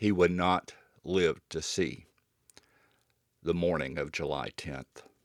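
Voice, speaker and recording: A man speaks with very deep, low pitch and vocal fry at a very slow pace, leaving long, frequent pauses. His intonation stays fairly even, and the sound is dry and close with no echo. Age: 60s. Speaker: YouTuber, heart attack survivor. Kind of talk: personal testimony. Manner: halting, with fillers.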